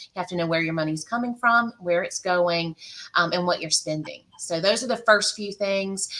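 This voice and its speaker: A woman with a Georgia accent talks at a fairly quick pace in a fairly low pitch, with noticeable background noise behind her. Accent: Georgia twang, noticeable. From US South, South Georgia. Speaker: financial counselor and military spouse. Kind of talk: casual panel chat. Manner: many fillers (um, uh).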